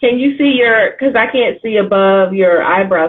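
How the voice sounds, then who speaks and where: At a moderate pace, a woman speaks in an animated tone with ordinary pitch variation. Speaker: writing coach and livestream host. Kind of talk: casual interview. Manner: loud.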